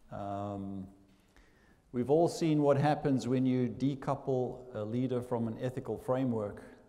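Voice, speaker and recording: In a room with audible echo, a man with a South African accent speaks in a medium-pitched, dark and mellow voice. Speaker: business school dean. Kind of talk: welcome speech. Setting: stage with audience. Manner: hesitant, many fillers.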